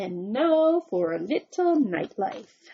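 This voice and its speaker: Using a put-on character voice, a woman talks at a very slow pace in a fairly high voice that makes very wide pitch swings. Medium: read story.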